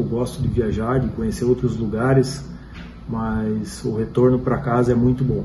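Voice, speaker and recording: Noticeable background noise and audible room echo fill the recording. Through them, a man talks fairly slowly. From Paraná, Brazil (Paranaguá). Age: 40s. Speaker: local resident interviewee. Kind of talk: interview testimony.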